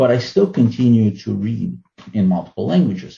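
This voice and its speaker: With a Russian accent, a man speaks in a dark, mellow tone that is somewhat breathy. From Ukraine, former Soviet Union. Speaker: fantasy and science fiction writer. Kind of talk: interview.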